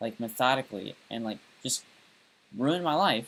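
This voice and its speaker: The speaker has a Southern US accent. The pace is moderate, with ordinary pitch variation. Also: man. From US South. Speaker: live streamer. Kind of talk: casual monologue. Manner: rambling, many fillers.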